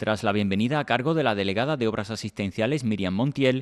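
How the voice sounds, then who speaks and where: An unremarkable speaking voice from a man, medium in pitch, fairly quick, with ordinary pitch variation. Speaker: local news reporter. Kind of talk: news reading, scripted narration. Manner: formal, measured.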